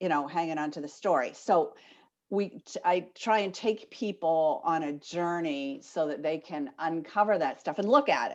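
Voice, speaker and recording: A woman's fairly low voice with an American accent, an unremarkable speaking voice at a moderate pace over a quiet background. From Maine, US. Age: 60s. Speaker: life coach. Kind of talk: interview. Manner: casual, many fillers.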